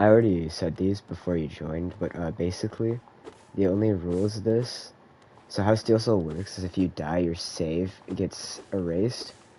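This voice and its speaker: The man's voice is very deep and low. His pace is moderate. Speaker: video game streamer. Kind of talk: live gameplay stream chat. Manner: casual, hesitant with many fillers.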